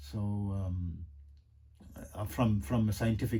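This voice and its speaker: His voice is very deep and low, with a dark, mellow tone. The man sounds somewhat breathy. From South Africa. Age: 50s. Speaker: yoga and meditation teacher. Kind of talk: casual monologue. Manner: rambling, hesitant with many fillers.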